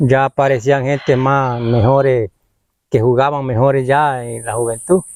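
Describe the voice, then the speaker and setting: The intonation stays fairly even, and the sound is dry and close with no echo. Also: man. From Colombia, Caribbean north (Sierra Nevada, Kankuamo community). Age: 60s. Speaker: community elder, former local footballer. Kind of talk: interview, oral history. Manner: halting.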